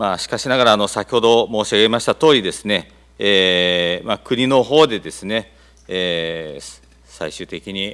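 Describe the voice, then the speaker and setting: Pitch variation is ordinary. The man speaks at a fairly slow pace. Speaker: mayor. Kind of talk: formal official answer. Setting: council chamber. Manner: formal, hesitant with fillers. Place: hall. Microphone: podium.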